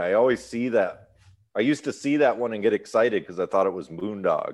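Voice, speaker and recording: A man with an American accent, an unremarkable speaking voice at medium pitch, over a quiet background. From US Midwest. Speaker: musician. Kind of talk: casual chat.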